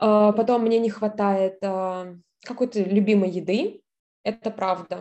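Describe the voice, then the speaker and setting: A woman speaks very slowly at a medium pitch, her tone dark and mellow. Her intonation stays monotone and flat. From southern Russia. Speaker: scholarship student. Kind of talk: interview.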